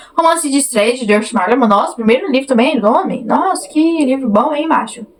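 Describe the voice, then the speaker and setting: With noticeable background noise, a woman speaks at a high pitch and a fairly quick pace, her tone animated and her pitch swinging very widely. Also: hardly any pauses. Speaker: book youtuber. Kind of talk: casual vlog chat. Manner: animated, chatty.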